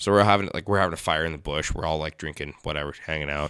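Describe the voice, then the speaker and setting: A man's voice sits very deep and low, its tone bright and sharp. The recording is very clean with a silent background. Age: 20s. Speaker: podcast host. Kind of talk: casual chat.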